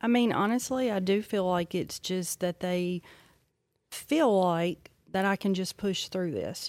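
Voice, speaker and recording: A woman speaks in an ordinary speaking voice at medium pitch, fairly slowly, with ordinary pitch variation. The sound is dry and close with no echo, and the recording is very clean with a silent background. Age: 40s. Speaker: psychiatric nurse practitioner. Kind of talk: casual interview.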